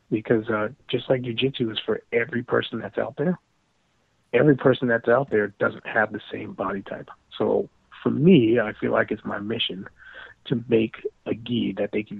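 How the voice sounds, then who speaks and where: Long pauses come often as a man delivers his words at a moderate pace. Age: 40s. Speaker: navy officer and jiu-jitsu gi maker. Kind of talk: casual chat.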